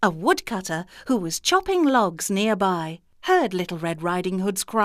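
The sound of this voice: An unforced reading voice carries the text.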